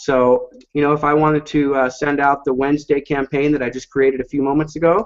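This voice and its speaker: Here a man talks at a moderate pace with a fairly high pitch. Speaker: software company presenter. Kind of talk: webinar product demo. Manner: animated.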